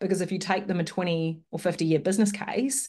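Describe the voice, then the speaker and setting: Someone talks at a fairly quick pace with a New Zealand accent and ordinary pitch variation over a quiet background. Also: woman. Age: 30s. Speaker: webinar host and local government consultant; webinar host. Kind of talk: webinar presentation. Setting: video call. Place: home room. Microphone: webcam.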